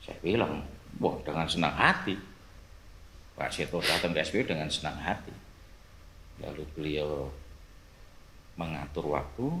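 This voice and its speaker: Very deep, low male voice in a strong Javanese accent, moderate pace, ordinary pitch variation, long and frequent pauses, and audible room echo. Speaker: police officer. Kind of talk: casual chat.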